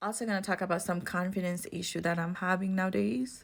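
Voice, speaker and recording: In a non-native accent, a woman speaks at medium pitch. The recording is very clean, with a silent background. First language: not English. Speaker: beauty vlogger. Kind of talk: makeup tutorial vlog. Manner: casual, with hesitations.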